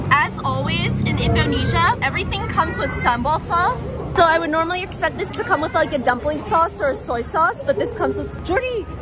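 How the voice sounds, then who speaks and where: Clear music can be heard behind the speech. The woman keeps up a fairly quick pace. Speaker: travel food vlogger. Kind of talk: casual vlog chat. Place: market. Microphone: phone near.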